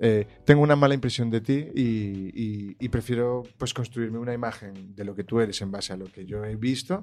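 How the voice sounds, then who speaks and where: With music in the background, a medium-pitched man speaks at a moderate pace with hardly any pauses. His pitch variation is ordinary, but his loudness swings widely. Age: young. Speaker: guest discussing emotional intelligence. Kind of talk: casual chat.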